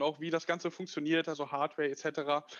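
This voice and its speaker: At a moderate pace, a man speaks in a high pitch with monotone, flat intonation. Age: 20s. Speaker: tech startup founder. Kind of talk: interview. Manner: hesitant, many fillers.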